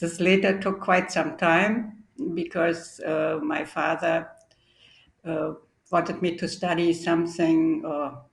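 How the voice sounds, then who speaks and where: The speaker, with a German accent, talks at a very slow pace with monotone, flat intonation. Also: woman, fairly low pitch for a woman. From East Germany (Halle, Berlin). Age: 70s. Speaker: historian of science. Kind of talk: academic interview.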